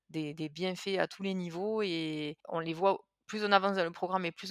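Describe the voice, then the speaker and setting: Recorded very cleanly against a silent background, a woman talks with fairly even intonation in a dry, close sound with no echo. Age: 30s. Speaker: patient sharing diet experience. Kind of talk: interview testimony. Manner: hesitant with fillers and repetitions.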